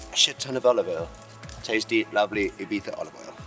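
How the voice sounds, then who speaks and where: A man talks at a very fast pace over music in the background. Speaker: Ibiza host. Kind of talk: casual talk to camera. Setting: outdoors.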